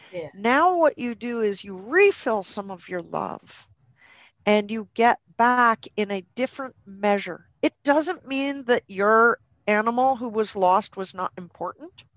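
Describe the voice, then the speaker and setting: A woman speaks in a plain, everyday voice with a Canadian accent, a fairly high pitch, lively intonation and big swings in loudness. Her pace is fairly slow, and the sound is dry and close with no echo. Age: 50s. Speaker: dog behaviour consultant and trainer. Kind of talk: podcast interview.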